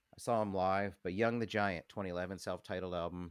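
A man with a very deep, low pitch speaks in a flat monotone at a moderate pace. The recording is very clean, dry and close, with a silent background and no echo. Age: 40s. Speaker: podcast co-host. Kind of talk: casual chat.

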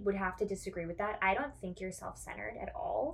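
A woman's very fast speech against noticeable background noise. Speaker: podcast co-host. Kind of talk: casual chat.

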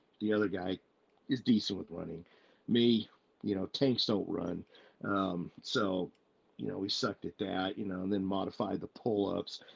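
Dry and close with no echo, the recording has a man with an ordinary speaking voice talking fairly quickly at a fairly low pitch. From military family, moved around; raised in Texas from high school. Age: 40s. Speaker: military member / fitness challenge participant. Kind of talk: casual chat.

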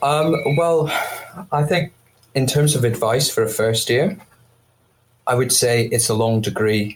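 Fairly slow speech with ordinary pitch variation and long, frequent pauses. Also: man, medium pitch for a man, very even loudness. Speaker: medical student. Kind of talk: casual chat.

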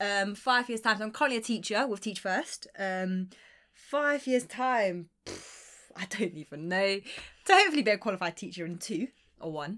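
A woman with a strong South London accent speaks at a moderate pace and medium pitch, her tone bright and sharp, her intonation lively, and her loudness swinging widely. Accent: strong Croydon. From London, Croydon. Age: 20s. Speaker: podcast co-host. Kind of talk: casual chat.

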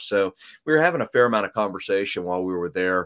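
A man talks at a fairly low pitch. The sound is dry and close with no echo, on a very clean recording with a silent background. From Canada. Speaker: compliance expert, podcast co-host. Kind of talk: casual chat. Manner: halting, many fillers.

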